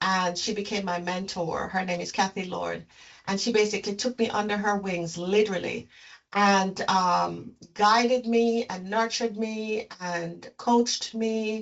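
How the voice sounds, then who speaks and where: The speaker has a slight Jamaican accent and a fairly slow pace. Intonation stays fairly even throughout. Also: woman, medium pitch for a woman. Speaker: leadership consultant and executive coach. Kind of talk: interview.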